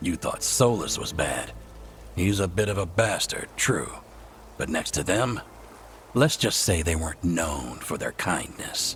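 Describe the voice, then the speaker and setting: Amid clear background noise, a man in a put-on character voice speaks at a fairly slow pace with a very deep, low pitch and long, frequent pauses. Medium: video game. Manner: dry, wry.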